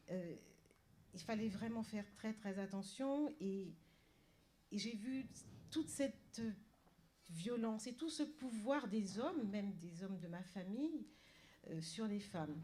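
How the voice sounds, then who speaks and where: Speaking very slowly with long, frequent pauses, a woman uses a somewhat breathy, dark and mellow tone at medium pitch with lively intonation. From Paris suburbs, France. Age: 60s. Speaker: novelist. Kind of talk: panel talk. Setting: library event with audience. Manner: halting, many repetitions and hesitations.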